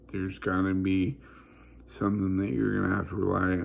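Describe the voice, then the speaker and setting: Very deep, low pitch from a man, plus audible room echo. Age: 40s. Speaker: vlogger. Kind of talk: personal testimony. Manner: halting.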